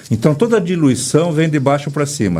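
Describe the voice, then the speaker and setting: A man talks with lively intonation, and audible echo from the room surrounds his voice. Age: 60s. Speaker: breathwork therapist. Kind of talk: interview. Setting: radio studio, filmed for live video.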